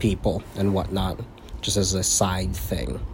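Somewhat breathy delivery at a moderate pace, with an American accent. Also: man. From US South (Florida Panhandle). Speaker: podcast co-host, army soldier. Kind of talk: casual chat.

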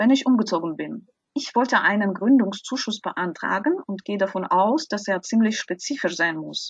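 At a moderate pace, a somewhat breathy voice with a non-native accent comes through in a dry, close sound with no echo. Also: woman. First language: not German (speaking German). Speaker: podcast host, translator. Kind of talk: podcast interview.

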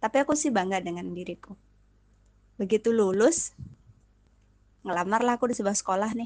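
This woman's voice is fairly high-pitched, with ordinary pitch variation and a fairly quick pace. Long pauses come frequently. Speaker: podcast host. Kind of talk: personal monologue. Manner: fast.

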